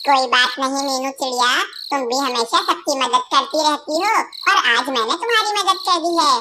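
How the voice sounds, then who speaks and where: A cartoonish character voice speaks high and at a moderate pace. Background noise comes through clearly. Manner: warm.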